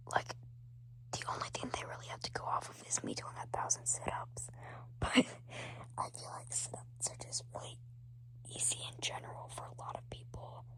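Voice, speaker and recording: A man whispering at a moderate pace, with long, frequent pauses, big swings in loudness and noticeable background noise. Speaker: firefighter trainee, ASMR creator. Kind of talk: ASMR whispering talk to camera. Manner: whispered, soft-spoken.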